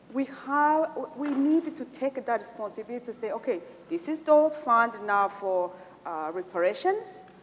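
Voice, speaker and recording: Noticeable background noise sits behind a woman speaking at a moderate pace. Her pitch is high and swings very widely. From Rwanda. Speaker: genocide survivor, community organizer. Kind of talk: conference Q&A remarks. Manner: halting, many fillers.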